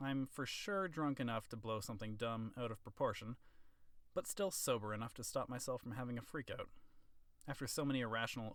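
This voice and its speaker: Here is a man with an unremarkable speaking voice. His pitch is medium, with ordinary variation. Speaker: author reading own novel. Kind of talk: audiobook narration.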